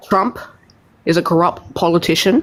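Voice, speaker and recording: A fairly low-pitched woman with an Australian accent, amid noticeable background noise. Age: young. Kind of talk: heated debate. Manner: halting.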